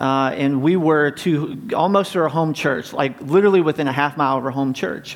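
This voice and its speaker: With an American accent, a man speaks at a fairly high pitch and a fairly quick pace, with hardly any pauses and ordinary pitch variation. Noticeable background noise is present. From US South, North Carolina. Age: 40s. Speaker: pastor. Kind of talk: sermon. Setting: church.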